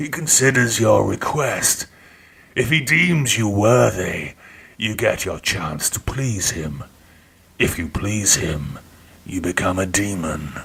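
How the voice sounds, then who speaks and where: A man puts on a character voice, pitched fairly low and delivered at a fairly slow pace. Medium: read story. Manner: mocking, relishing.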